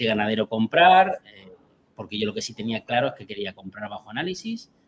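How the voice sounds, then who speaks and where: With a plain, everyday voice, a man at a medium pitch talks at a moderate pace with lively intonation. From Albacete, Spain. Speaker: cheesemaker. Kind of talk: interview.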